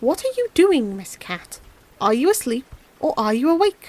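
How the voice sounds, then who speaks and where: Putting on a character voice, a woman talks at a moderate pace, pitched high and swinging very widely up and down. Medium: read story.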